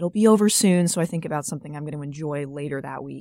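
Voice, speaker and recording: A woman talks with an American accent. The sound is dry and close with no echo, in a very clean recording with a silent background. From South Carolina. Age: 20s. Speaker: college student. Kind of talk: casual interview.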